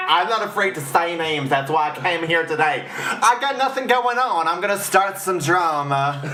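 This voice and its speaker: Loud and high-pitched, a man speaks at a moderate pace amid audible room echo and noticeable background noise. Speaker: drag performer. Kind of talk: casual chat.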